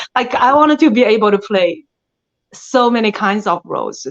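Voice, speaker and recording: Against a quiet background, a woman with a strong Chinese accent speaks at a moderate pace with ordinary pitch variation. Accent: thick Chinese. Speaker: actress. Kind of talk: interview. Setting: podcast. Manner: hesitant, with fillers.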